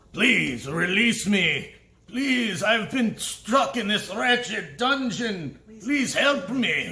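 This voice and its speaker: A man puts on a gruff, high-pitched character voice. He projects it loudly at a very slow pace. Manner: pleading, desperate.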